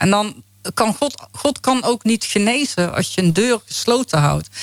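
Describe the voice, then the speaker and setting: Her pitch swings very widely as the woman speaks. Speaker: faith healing ministry founder. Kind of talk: testimony. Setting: radio studio.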